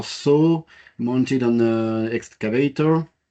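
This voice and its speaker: Speaking with a French accent, a man has a dark, mellow tone and fairly even intonation. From France. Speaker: business manager presenting technology. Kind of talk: technical presentation. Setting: workshop presentation. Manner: halting, many fillers.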